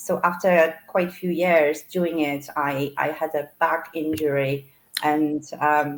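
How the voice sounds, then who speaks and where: A woman's very deep, low voice, very slow, with monotone, flat intonation. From Poland. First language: Polish. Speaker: florist and online business owner. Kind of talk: interview.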